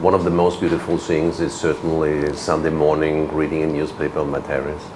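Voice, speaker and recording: Amid noticeable background noise and audible room echo, a man speaks with a very deep, low pitch and a monotone, flat intonation. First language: German. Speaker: ambassador. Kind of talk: interview. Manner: halting, many repeats and fillers.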